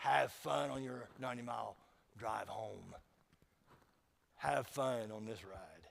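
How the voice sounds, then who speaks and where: Putting on a character voice, a raspy man at medium pitch speaks fairly slowly with long, frequent pauses. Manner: sarcastic.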